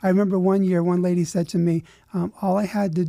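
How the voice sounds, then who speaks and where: A man's high pitch with a dark, mellow tone at a fairly quick pace, in a dry, close sound with no echo. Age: 60s. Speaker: charity officer. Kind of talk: radio interview.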